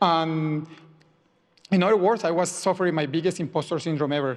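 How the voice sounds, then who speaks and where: A man's high voice with a Spanish accent, ordinary pitch variation and a moderate pace. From Colombia. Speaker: software engineer. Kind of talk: personal talk to audience. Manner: halting, many repetitions.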